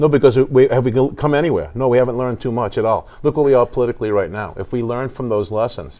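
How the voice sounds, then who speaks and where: With a New York accent, a man of medium pitch talks very fast with ordinary pitch variation and hardly any pauses. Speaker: theater show staff and tour guide. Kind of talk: casual interview. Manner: animated.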